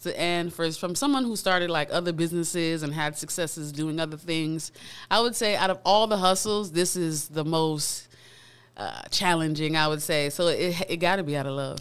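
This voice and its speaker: A woman with an American accent, fairly low in pitch, at a moderate pace with ordinary pitch variation. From South Florida, Pompano Beach; Florida. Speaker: recording artist; guest. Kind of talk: casual interview chat. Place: studio. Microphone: studio mic.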